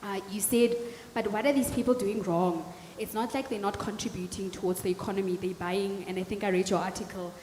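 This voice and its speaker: A woman at a medium pitch talks at a fairly quick pace with fairly even intonation over noticeable background noise. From South Africa, Northern Cape (Kimberley). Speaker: audience member asking questions at a panel. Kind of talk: audience question at panel discussion.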